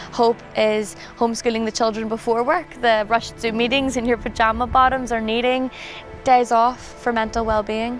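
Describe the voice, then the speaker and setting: Against music in the background, a woman with a fairly high pitch speaks at a moderate pace in a monotone, flat intonation. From Belfast, Northern Ireland. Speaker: poet. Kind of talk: poetry reading.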